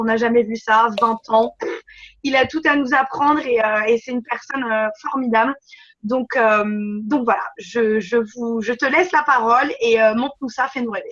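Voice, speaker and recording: Talking at a moderate pace, a woman uses a high pitch. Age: 20s. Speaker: network marketing recruiter. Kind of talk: conference call presentation. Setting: conference call.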